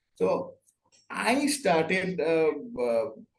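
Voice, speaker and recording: A man speaks with a Bengali accent at a fairly high pitch. His voice is somewhat breathy. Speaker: interior design consultant. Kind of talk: interview. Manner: halting.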